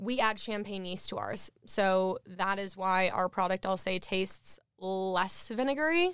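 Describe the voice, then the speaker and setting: A woman talks at a fairly slow pace in a normal speaking voice. Her pitch is medium, with ordinary variation. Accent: American. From Minnesota. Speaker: beverage company founder. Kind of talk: interview. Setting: studio.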